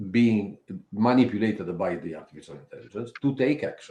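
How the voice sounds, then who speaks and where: A man speaks with a non-native accent at a medium pitch, his tone dark and mellow. His intonation is lively. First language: not English. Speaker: cybersecurity expert. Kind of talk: panel discussion.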